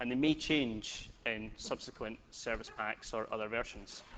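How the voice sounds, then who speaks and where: Speaking at a fairly slow pace with fairly even intonation, a man has a slight Scottish accent. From Scotland. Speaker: software developer, conference speaker. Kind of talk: technical conference talk. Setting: stage with audience. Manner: casual, joking.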